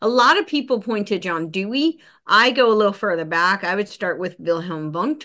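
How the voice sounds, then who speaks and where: A woman at a medium pitch with a bright, sharp tone, lively intonation and a moderate pace, against a quiet background. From US, New Jersey (near New York City). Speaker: podcast host and researcher. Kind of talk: casual interview conversation. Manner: animated.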